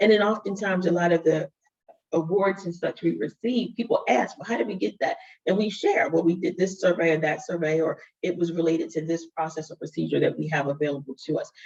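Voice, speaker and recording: A woman with a fairly low, somewhat breathy voice talks at a very fast pace. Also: ordinary pitch variation. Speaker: DEI leader at a tech company. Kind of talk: webinar panel discussion.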